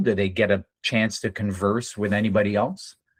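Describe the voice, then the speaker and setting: A man with a fairly low voice talks rather slowly. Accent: Franco-Ontarian. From Northern Ontario, Canada (French-speaking community). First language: French. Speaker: day trading educator. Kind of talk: live trading stream with group chat. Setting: live video session with screen sharing. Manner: hesitant, many fillers.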